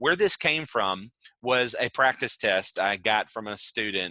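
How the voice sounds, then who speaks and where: Loud male voice, bright and sharp in tone, medium in pitch, at a moderate pace, with a dry, close sound and no echo. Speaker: adult education teacher. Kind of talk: online lecture. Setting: video call.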